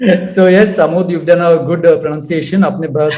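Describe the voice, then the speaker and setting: Pitched high for a man, his dark, mellow voice moves at a moderate pace with fairly even intonation. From Goa, India. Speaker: author. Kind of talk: radio interview. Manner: mixes Hindi and English; hesitant with fillers.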